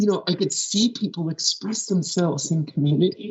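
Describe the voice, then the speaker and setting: Her intonation lively, a woman speaks in a somewhat breathy voice at a medium pitch. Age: 60s. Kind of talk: interview.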